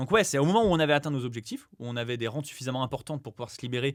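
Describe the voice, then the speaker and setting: Animated in tone, a man talks at a very fast pace with ordinary pitch variation. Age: 20s. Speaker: real estate investor and former PE teacher. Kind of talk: podcast interview.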